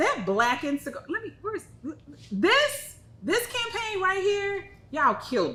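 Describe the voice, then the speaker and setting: A woman with an American accent speaks at a moderate pace in an animated tone, her voice raised and projected, with very wide pitch swings at an extremely high pitch, over noticeable background noise. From Texas. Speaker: cigar company retail specialist and show host. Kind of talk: live-streamed product show.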